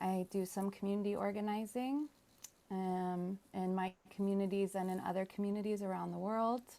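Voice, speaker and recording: This is a woman with a normal speaking voice, pitched in the medium range. She keeps a moderate pace and fairly even intonation. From United States. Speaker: musician and workshop facilitator. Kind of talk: panel discussion. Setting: video call. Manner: casual.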